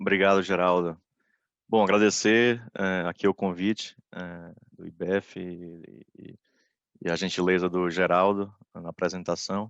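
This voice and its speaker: In a Bahian accent, a man with a very deep, low voice speaks fairly slowly and in a flat monotone, the sound dry and close with no echo against a quiet background. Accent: Bahian Brazilian Portuguese. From Brazil, Bahia (Salvador). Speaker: corporate lawyer, panelist. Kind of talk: webinar presentation. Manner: halting, many fillers.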